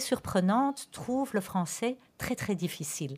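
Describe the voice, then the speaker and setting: A woman speaks with lively intonation and a somewhat breathy quality. The recording is very clean, with a silent background. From Antwerp, Belgium. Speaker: school principal. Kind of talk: radio interview. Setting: radio studio. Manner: hesitant, repeats words.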